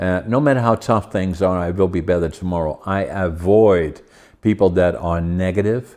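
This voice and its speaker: A man with a Dutch accent and a very deep, low pitch speaks at a moderate pace with ordinary pitch variation against a quiet background. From Netherlands. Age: 80s+. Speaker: podcast host. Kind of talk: interview conversation.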